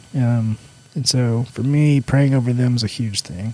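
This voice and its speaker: A soft-spoken man talks with ordinary pitch variation. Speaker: church staff member. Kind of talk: casual chat.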